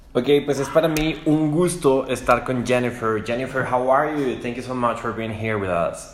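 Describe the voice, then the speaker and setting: A man with a Spanish accent speaks at a fairly quick pace with hardly any pauses, at medium pitch with ordinary pitch variation. Noticeable background noise is present. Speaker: radio host. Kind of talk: interview. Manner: halting.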